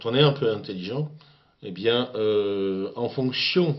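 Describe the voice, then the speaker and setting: Words come very slowly, and the pitch varies in an ordinary way. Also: man. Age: 60s. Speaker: political commentator. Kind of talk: video rant addressing a critic. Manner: halting, many hesitations.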